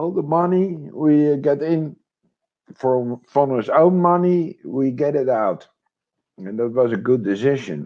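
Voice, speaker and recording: This man has a Dutch accent and a fairly high pitch for a man, talking at a fairly slow pace with lively intonation. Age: 50s. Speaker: retired military, crypto investor. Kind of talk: interview. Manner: halting.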